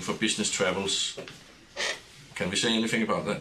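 A man speaks against noticeable background noise. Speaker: webinar moderator. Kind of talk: moderating a webinar. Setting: studio.

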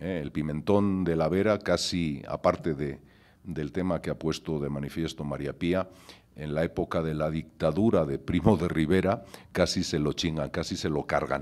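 A man speaks at a moderate pace. His voice is very deep and low. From Spain, Gijón (Asturias); Asturias, Spain. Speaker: chef; panelist. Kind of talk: conference talk. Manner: animated. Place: hall. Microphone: podium.

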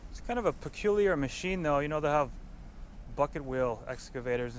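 The delivery moves at a fairly quick pace. The sound is dry with no echo, over light background noise. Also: man. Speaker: vlogger filming his father. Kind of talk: casual vlog chat. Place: open country. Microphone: phone near.

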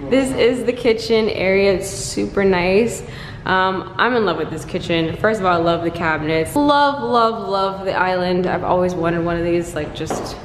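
A woman at a moderate pace with ordinary pitch variation, audible room echo and light background noise. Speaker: vlogger. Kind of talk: casual vlog chat. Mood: happy, excited. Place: kitchen. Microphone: phone near.

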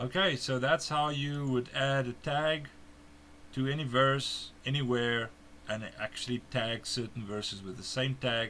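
This man has a medium pitch and a bright, sharp tone, with a South African accent. He speaks at a fairly slow pace with ordinary pitch variation. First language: Afrikaans. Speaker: software developer giving a tutorial. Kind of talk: tutorial screen demonstration. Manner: halting, with fillers.

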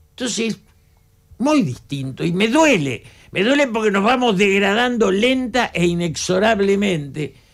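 The man's voice sits high and moves through very wide pitch swings. He talks fairly slowly against a quiet background. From Argentina, Buenos Aires area; Argentina. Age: 80s+. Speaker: political analyst. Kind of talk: radio interview. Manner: passionate, animated. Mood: indignant, critical. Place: studio. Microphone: studio mic.

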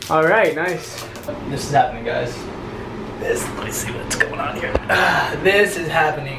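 Loud background noise sits under a man's voice. He speaks at a fairly slow pace with long, frequent pauses. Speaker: vlogger. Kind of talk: casual vlog chat. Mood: playful, excited. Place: bathroom. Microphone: phone near.

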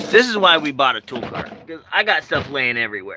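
The sound is dry, with no echo, as a man speaks. Noticeable background noise runs underneath. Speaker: vlogger showing tools. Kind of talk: casual vlog chat. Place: street. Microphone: phone near.

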